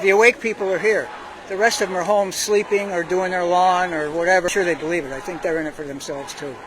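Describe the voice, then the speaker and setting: The talking is at a very fast pace, with noticeable background noise. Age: 80s+. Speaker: rally attendee interviewed on street. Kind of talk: street interview. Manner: animated.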